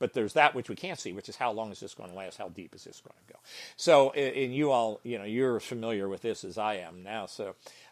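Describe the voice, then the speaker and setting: A man speaks at a very fast pace in a medium pitch, with ordinary pitch variation and big swings in loudness, on a very clean recording with a silent background. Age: 70s. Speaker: gym business founder and mentor. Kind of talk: podcast interview. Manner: halting, many restarts and fillers.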